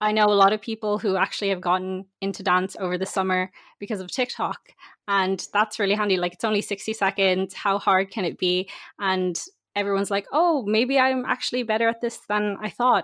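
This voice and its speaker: A woman speaks at a fairly quick pace and medium pitch with fairly even intonation, the sound dry and close with no echo against a quiet background. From Ireland. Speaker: university student and dancer. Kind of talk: casual interview chat.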